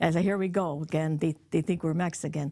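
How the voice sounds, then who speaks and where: On a very clean recording with a silent background, a woman with an American accent speaks in an animated tone at a fairly quick pace. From US Northeast, East Utica, upstate New York. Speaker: podcast host's mother. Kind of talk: casual chat.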